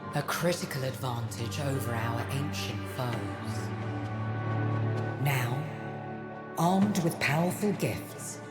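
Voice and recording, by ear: A put-on character voice moves at a slow pace with lively intonation and long, frequent pauses. Clear music plays in the background. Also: woman, extremely low pitch for a woman.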